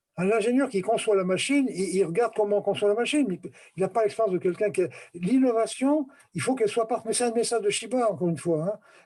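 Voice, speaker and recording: A man with a dark, mellow tone and a high pitch for a man. He talks very fast at a very even loudness. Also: ordinary pitch variation. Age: 70s. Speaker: retired company director. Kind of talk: casual discussion. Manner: animated.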